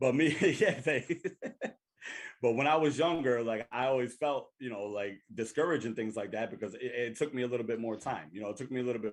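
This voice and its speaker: A man with an American accent talks at a very fast pace in an animated tone. His medium-pitched voice has lively intonation. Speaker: podcast co-host. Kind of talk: casual chat. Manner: halting, stuttering.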